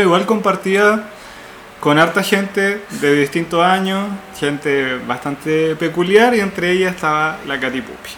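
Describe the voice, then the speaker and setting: A man speaks at a high pitch with lively intonation. Noticeable background noise is present. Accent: Chilean. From Chile, O'Higgins region (Rancagua area). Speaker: podcast co-host. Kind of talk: scripted narration; casual chat.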